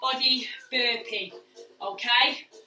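A raised, projected voice with ordinary pitch variation carries over clear background music, with audible room echo. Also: woman. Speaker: fitness instructor. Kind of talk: workout instruction. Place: gym. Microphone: camera far.

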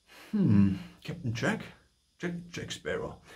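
The background is quiet behind a man's voice. His tone is dark and mellow, with vocal fry. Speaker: voice coach. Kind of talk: tutorial talk to camera. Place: home room. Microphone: phone near.

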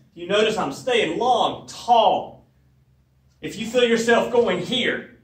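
The pace of the man's speech is fairly slow. An echo from the room can be heard. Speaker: fitness trainer. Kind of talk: tutorial. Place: gym. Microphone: camera far.

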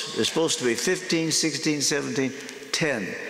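Pitch variation is ordinary. There is audible room echo. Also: man. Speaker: guest. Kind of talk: sermon. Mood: warm, lightly humorous. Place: church.

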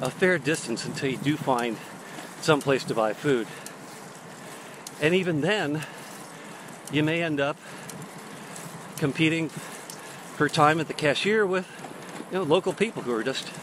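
Over noticeable background noise, a man speaks at a fairly slow pace with long, frequent pauses. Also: ordinary pitch variation, dry sound with no echo. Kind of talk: casual vlog chat. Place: bicycle. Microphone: earbuds.

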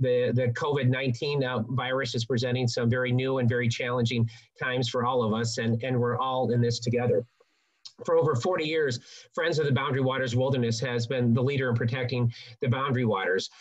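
Monotone, flat intonation at a fairly quick pace over a quiet background. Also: man. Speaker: webinar host. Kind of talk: webinar introduction. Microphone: video call.

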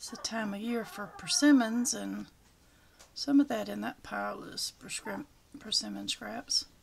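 The speaker, with a Southern US accent, goes at a fairly slow pace with long, frequent pauses and big swings in loudness. Light background noise sits underneath. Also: woman. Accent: Southern American. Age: old. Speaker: retired homeowner filming birds. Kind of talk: casual talk while filming. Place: garden.

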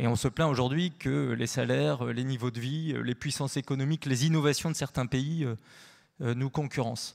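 Ordinary pitch variation from a man, quiet background behind him. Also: moderate pace. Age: 40s. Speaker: researcher; panelist. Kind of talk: panel discussion. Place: hall. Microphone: handheld.

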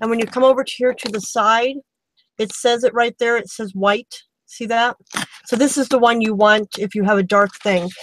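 At a moderate pace, a woman speaks with fairly even intonation, the sound dry with no echo and light background noise present. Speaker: craft tutorial host. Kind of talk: tutorial. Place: home room.

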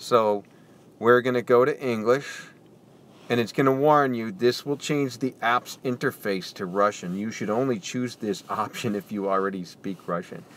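With an American accent, a man in an ordinary speaking voice talks at medium pitch and a moderate pace, with ordinary pitch variation. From United States. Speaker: English tutor. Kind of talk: app tutorial walkthrough. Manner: casual.

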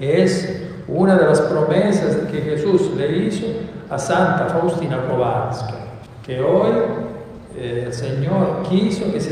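A man speaks at a very slow pace. Strong room echo and light background noise fill the recording. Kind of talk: homily. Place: church.

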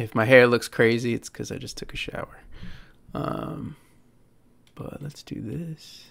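There is vocal fry in this man's voice, with ordinary pitch variation. His loudness swings widely. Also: fairly slow pace. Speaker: game streamer. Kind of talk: casual live stream chat. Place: home room. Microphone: studio mic.

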